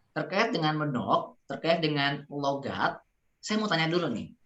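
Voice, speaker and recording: A woman speaks at a moderate pace in a Sundanese accent, her pitch very deep and low for a woman. Her tone is bright and sharp, with ordinary pitch variation. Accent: Sundanese accent, noticeable. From West Java (Sundanese). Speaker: public speaking trainer. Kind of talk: online workshop Q&A. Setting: Zoom video call.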